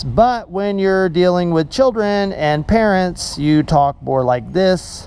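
In a put-on character voice at a middle pitch, the speaker delivers a sing-song line at a fairly slow pace with hardly any pauses over light background noise. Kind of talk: talking to children and parents. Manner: cheerful, sing-song.

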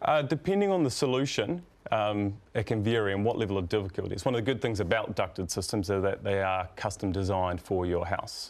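An unremarkable speaking voice belongs to a man with a fairly low pitch and ordinary pitch variation. He moves at a fairly quick pace with hardly any pauses. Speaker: guest. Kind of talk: interview answer. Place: studio. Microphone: lapel.

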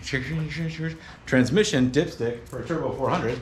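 A man is speaking. There is light background noise and audible room echo. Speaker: vlogger. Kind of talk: casual vlog chat. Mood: wry, puzzled. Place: garage. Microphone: phone near.

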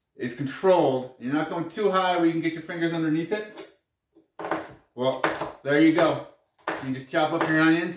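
A high-pitched man speaks at a moderate pace with ordinary pitch variation and long, frequent pauses amid noticeable background noise. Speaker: presenter. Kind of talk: tutorial. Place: kitchen. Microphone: camera far.

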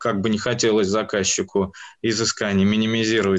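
This man talks at a moderate pace in a fairly low pitch. His intonation stays monotone and flat. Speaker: university department head. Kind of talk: lecture-style presentation. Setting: video call. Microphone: video call.

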